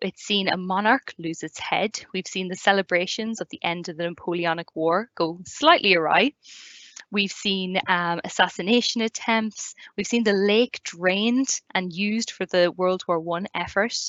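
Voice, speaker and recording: A woman's medium-pitched voice with an Irish accent. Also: ordinary pitch variation, moderate pace. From Ireland. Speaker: community learning officer, tour guide. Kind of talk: online presentation talk. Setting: live online video event.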